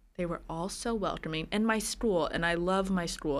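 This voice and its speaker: A woman with an American accent and an unremarkable speaking voice talks at a moderate pace and medium pitch. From New Jersey. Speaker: business assistant. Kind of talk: casual chat.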